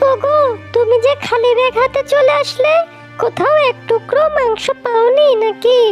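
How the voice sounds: A cartoonish character voice plays over clear music in the background. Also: female-sounding voice, extremely high pitch for a woman, fairly slow pace.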